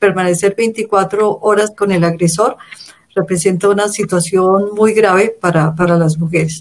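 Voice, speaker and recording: A woman with an ordinary speaking voice, medium in pitch, fairly slow, with very even loudness and fairly even intonation. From Colombia. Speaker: feminist organization director. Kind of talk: interview.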